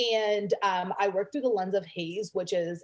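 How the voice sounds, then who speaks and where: A woman with an American accent speaks at a fairly quick pace, her medium pitch carried on fairly even intonation. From Canada. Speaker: sex and confidence coach. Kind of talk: podcast interview.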